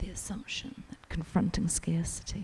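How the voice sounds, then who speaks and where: Whispering at a moderate pace, a woman speaks in a New Zealand accent. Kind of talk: quiet audiobook-style reading for ASMR. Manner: quiet, soft-spoken.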